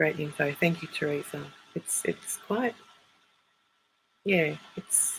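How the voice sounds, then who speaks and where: The speaker has an Australian accent and a very slow pace. Long pauses come often. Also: woman. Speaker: psychic. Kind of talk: live stream chat.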